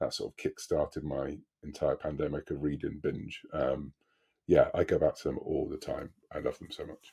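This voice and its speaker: With a British accent, a man talks at a moderate pace. His loudness swings widely, and the sound is dry and close with no echo. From Britain. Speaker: author. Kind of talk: casual interview.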